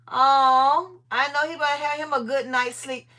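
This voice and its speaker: A woman speaks with a raised, projected voice at a moderate pace, her pitch high. Her tone is bright, sharp and animated. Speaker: livestream host, organizing content creator. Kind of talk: casual live chat with viewers. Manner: loud.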